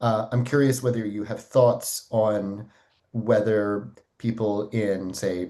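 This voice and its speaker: Against a quiet background, a man with an American accent speaks very slowly in a fairly low pitch with a dark, mellow tone. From United States. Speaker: audience member asking questions, philosopher. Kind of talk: Q&A question at online event.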